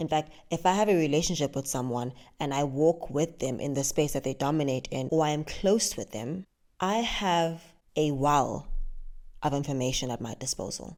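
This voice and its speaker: The speaker is soft-spoken, with an animated tone and a moderate pace. The recording is very clean, with a silent background. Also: woman, very deep, low pitch for a woman, ordinary pitch variation. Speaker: podcast host. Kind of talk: solo podcast monologue on faith. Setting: at home late at night. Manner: quiet, soft.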